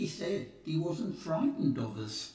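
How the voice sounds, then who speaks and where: A man does a put-on character voice, fairly high in pitch. He keeps a moderate pace, and a clear echo surrounds him. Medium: read story. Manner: fussy, pedantic.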